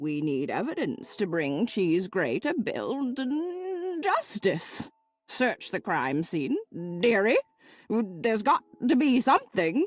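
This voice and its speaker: A woman puts on a character voice, fairly high for a woman, with very wide pitch swings at a fairly slow pace in a dry, close sound with no echo. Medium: video game. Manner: fussy, calls everyone dearie.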